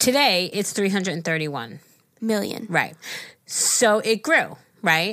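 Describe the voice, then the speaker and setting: Here is an unremarkable speaking voice from a woman of medium pitch. She talks at a fairly slow pace with lively intonation. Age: 40s. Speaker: podcast co-host, mother-in-law. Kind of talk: casual chat. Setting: studio.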